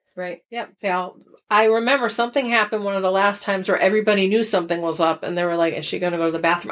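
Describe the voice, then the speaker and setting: A woman with an American accent talks at a very fast pace, with hardly any pauses. Her pitch is medium and varies in an ordinary way. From Connecticut, US. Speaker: podcast co-host. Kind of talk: casual chat.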